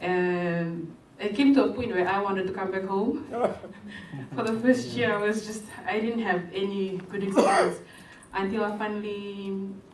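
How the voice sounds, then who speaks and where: Long, frequent pauses break up a woman's speech, heard with audible room echo and noticeable background noise. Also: medium pitch for a woman, ordinary pitch variation, moderate pace. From Pacific Islands. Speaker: workshop participant. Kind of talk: workshop discussion.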